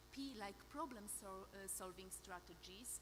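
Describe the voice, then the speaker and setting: Speaking at a fairly slow pace in a Polish accent, a woman shows ordinary pitch variation amid audible room echo. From Poland. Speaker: clinical psychologist and researcher. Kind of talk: conference presentation. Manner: halting, many fillers.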